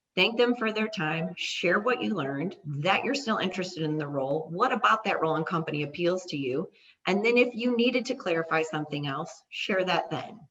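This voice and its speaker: A woman talks at a fairly quick pace with a fairly low pitch. Her pitch swings very widely. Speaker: career advice presenter. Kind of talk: workshop presentation. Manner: fast.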